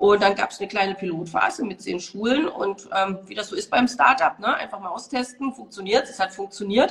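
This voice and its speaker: Moderate-paced speech with ordinary pitch variation and noticeable background noise. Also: woman. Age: 40s. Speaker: managing director. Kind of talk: interview. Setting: Instagram live video call.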